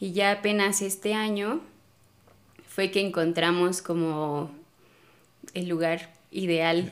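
A woman speaks at a very slow pace with fairly even intonation. Her speech has long, frequent pauses. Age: 20s. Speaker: pole dance instructor and studio owner. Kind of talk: casual interview.

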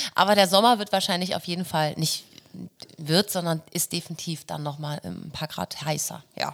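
A plain, everyday voice moves at a moderate pace, its intonation fairly even. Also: woman, fairly low pitch for a woman. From Hamburg, northern Germany. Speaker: pop schlager singer and musical performer. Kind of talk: casual interview chat.

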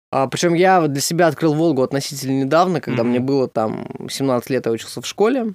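Speaking very fast with hardly any pauses, a man uses a fairly high pitch and ordinary pitch variation, the sound dry and close with no echo. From Russia, Samara. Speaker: comedian. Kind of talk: casual chat.

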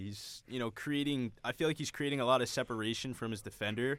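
A man with a normal speaking voice talks at a fairly quick pace. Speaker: student analyst on sports podcast. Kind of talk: casual sports chat.

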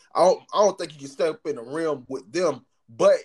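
Over music in the background, a man with an American accent talks at a high pitch with very wide pitch swings. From US South. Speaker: podcast co-host. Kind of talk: casual chat.

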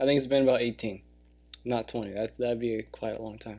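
In a very clean recording with a silent background, a man speaks in a dark, mellow tone. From California. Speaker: comedy podcast host. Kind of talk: casual solo podcast monologue. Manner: animated.

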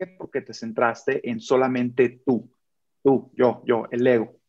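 A man with lively intonation at a fairly slow pace. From Michoacán, Mexico. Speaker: army sergeant and motivational speaker. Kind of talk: casual interview chat.

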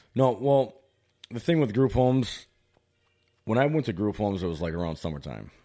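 A man with a fairly low pitch and a dark, mellow tone talks at a fairly quick pace, his pitch swinging very widely, with long, frequent pauses on a very clean recording over a silent background. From Wisconsin (moved from California at ten). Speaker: barber. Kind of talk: interview. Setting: living room.

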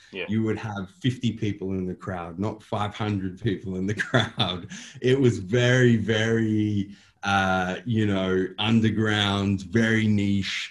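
Delivered at a very slow pace with an Australian accent, the speech has a monotone, flat intonation. The recording is very clean, with a silent background. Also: man. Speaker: bodybuilder and company owner. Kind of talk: casual interview. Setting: boardroom.

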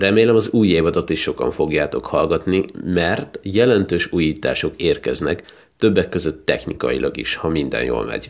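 Hardly pausing at all, a man talks at a moderate pace in a warm tone. The background is quiet. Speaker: podcast host and poetry reader. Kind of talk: poem reading, then casual podcast address. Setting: podcast recording. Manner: warm, sincere, plain-spoken in the outro.

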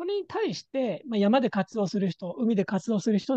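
A man's dark, mellow tone, with a dry, close sound with no echo and a quiet background. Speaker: head of a wilderness first aid organization, instructor and mountain guide. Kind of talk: casual chat.

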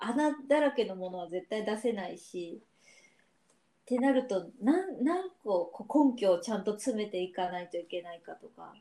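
A woman's voice has a dark, mellow tone, lively intonation and big swings in loudness. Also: fairly high pitch for a woman, moderate pace. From Japan, Yamaguchi Prefecture. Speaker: podcast co-host. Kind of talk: casual chat.

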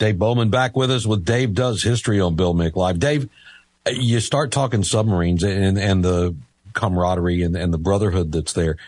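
Speaking at a moderate pace with very even loudness, a man with an unremarkable speaking voice and an American accent talks at a fairly low pitch with ordinary pitch variation. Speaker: radio host. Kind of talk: live radio talk show. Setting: radio studio.

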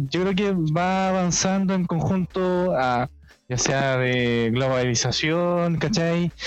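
Over music in the background, a man with a Chilean accent speaks at a very slow pace with ordinary pitch variation. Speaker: podcast co-host. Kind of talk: casual chat.

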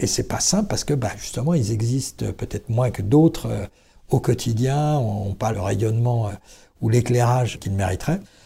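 A man with a dark, mellow tone and a somewhat breathy quality speaks at a moderate pace on a very clean recording with a silent background. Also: medium pitch for a man, ordinary pitch variation. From Vendée, western France. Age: 60s. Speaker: business founder and CEO. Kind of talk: interview. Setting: company premises.

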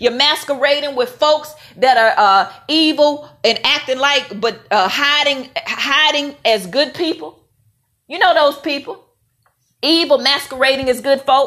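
A woman's high, raised and projected voice with a bright, sharp tone, ordinary pitch variation and a fairly slow pace. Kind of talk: faith-based talk to camera. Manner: loud, assertive.

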